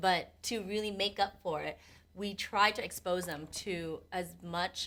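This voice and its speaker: On a very clean recording with a silent background, a woman with a Vietnamese accent speaks at a fairly slow pace and medium pitch, her tone bright and sharp and her intonation fairly even. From US, Vietnamese immigrant family. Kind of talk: casual podcast conversation.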